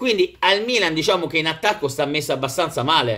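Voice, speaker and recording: A man speaks at a fairly quick pace with a bright, sharp tone, fairly high pitch and lively intonation over a quiet background. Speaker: football vlogger and Milan fan. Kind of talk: angry rant. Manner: animated, emotional, passionate. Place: home room.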